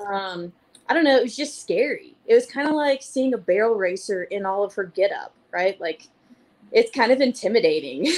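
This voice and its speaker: Her pitch fairly high, a woman with a Georgia accent speaks in very wide pitch swings. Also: moderate pace. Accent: Southern (Georgia). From Missouri. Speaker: fly fishing group organizer. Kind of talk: casual chat. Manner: animated.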